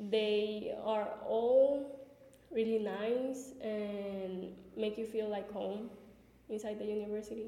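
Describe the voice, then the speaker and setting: A woman speaks very slowly at a fairly high pitch. Music plays behind her and the room echo is audible. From Venezuela. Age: young. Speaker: college student. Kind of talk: interview answers.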